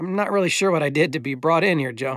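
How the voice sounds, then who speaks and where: This is a put-on character voice, raspy and strained. It races along at a very fast pace with ordinary pitch variation. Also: man. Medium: read story. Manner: restrained, holding back anger.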